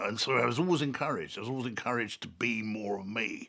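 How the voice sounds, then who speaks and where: The speaker has a London accent, a bright, sharp tone and ordinary pitch variation. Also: man. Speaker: artist and author. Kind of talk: reflective interview monologue. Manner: halting.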